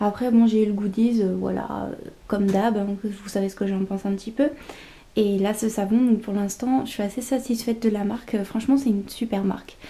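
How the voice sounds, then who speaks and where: A soft-spoken woman's voice, fairly high in pitch, somewhat breathy, with a dark, mellow tone, monotone, flat intonation and a moderate pace. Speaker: beauty vlogger. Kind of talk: casual vlog, product unboxing. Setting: at home, early morning, handheld camera. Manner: hesitant, many fillers.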